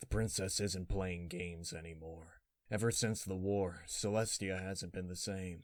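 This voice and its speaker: A put-on character voice from a man, very deep and low, with a weary tone, fairly even intonation and a moderate pace, on a very clean recording with a silent background. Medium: read story. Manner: weary, brooding.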